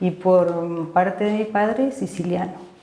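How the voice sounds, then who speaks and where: A woman speaks at a very slow pace in a medium pitch. Audible room echo and noticeable background noise surround her voice. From Argentina, Mendoza (San Martín). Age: 60s. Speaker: physician. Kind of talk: interview, life story. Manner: hesitant, many fillers.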